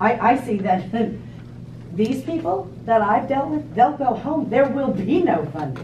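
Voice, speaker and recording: With an American accent, a woman speaks at a fairly slow pace and a fairly high pitch, her voice making very wide pitch swings, with audible room echo and light background noise. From New Jersey. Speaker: schoolteacher; audience member. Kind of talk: audience comment, debate. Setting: meeting room with audience. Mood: skeptical, challenging. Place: meeting room.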